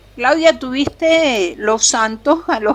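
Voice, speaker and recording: A high-pitched woman's voice at a very slow pace, with very wide pitch swings and noticeable background noise. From Venezuela. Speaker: co-host. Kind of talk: casual interview.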